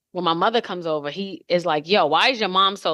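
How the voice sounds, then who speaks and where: A woman talks loudly and very fast at a fairly low pitch with lively intonation. Her tone is bright and sharp. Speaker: podcast co-host. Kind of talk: casual chat.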